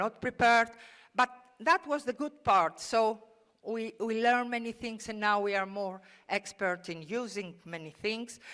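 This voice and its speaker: Her fairly high voice moves with lively intonation as this woman speaks at a moderate pace. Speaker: keynote speaker, education professor. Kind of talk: conference keynote talk. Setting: conference stage with audience. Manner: hesitant, many fillers.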